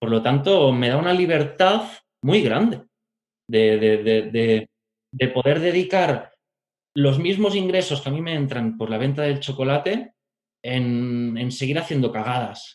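Speaking very slowly with long, frequent pauses, a man uses lively intonation at a fairly high pitch. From Catalonia, Spain (Barcelona and Pyrenees). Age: 30s. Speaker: pastry chef. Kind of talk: interview conversation.

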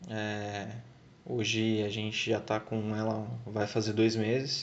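This man speaks at a fairly slow pace and a medium pitch. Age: 20s. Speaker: car enthusiast giving advice. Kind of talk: recorded testimony.

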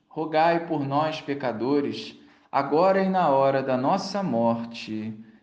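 Speaking with a Brazilian accent and a solemn tone, a man with a fairly high pitch uses lively intonation at a very slow pace. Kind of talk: fervent prayer. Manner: devout, solemn, slow and reverent; intimate, pleading, imploring tone.

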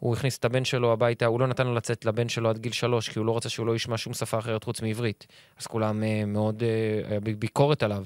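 At a very fast pace, a man speaks at medium pitch in a very clean, silent-background recording with a dry, close sound and no echo. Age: 30s. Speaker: actor. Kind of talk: casual chat.

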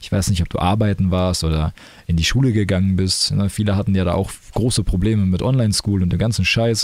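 A man at a fairly low pitch and fairly quick pace, with fairly even intonation, very even loudness and a normal speaking voice. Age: 20s. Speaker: podcaster and streamer. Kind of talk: casual solo monologue. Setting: home recording in his room.

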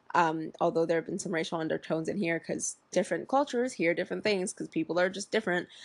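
Vocal fry colors a woman's fairly low voice as she talks at a very fast pace. Her intonation is lively. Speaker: podcast host. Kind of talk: casual solo monologue. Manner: halting, many fillers.

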